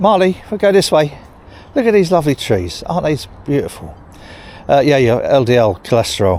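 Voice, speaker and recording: At a fairly high pitch, a man with an English accent talks at a fairly quick pace, using very wide pitch swings and long, frequent pauses. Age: 60s. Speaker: vlogger. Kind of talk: casual vlog monologue. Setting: outdoors, walking dog in cemetery.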